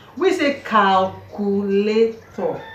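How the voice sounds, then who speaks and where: A woman speaks with a Nigerian accent. Noticeable background noise can be heard. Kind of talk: casual talk to camera.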